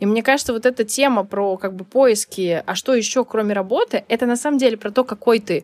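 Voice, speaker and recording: A woman with an unremarkable speaking voice talks at a fairly quick pace with hardly any pauses. Her pitch is fairly high with ordinary variation, and the sound is dry and close with no echo. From Saint Petersburg, Russia. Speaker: life coach. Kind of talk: interview conversation.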